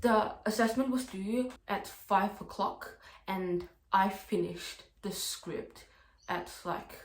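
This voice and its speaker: Very slow, fairly even speech from a woman at a medium pitch. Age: 20s. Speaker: university student vlogger. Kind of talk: casual vlog talk to camera. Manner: slow talker, by own account; casual, lots of filler words.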